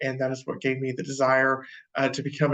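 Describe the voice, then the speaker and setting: A man with a Texan accent. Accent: Texan American. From Texas, Wichita Falls. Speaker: professor. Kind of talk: lecture. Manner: hesitant, many fillers.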